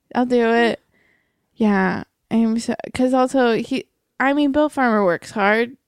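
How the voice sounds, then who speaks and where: A woman with an American accent and high pitch speaks at a fairly slow pace with long, frequent pauses, ordinary pitch variation and very even loudness, in a dry, close sound with no echo on a very clean recording with a silent background. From Florida, US. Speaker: improviser and comedic writer. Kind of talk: casual chat.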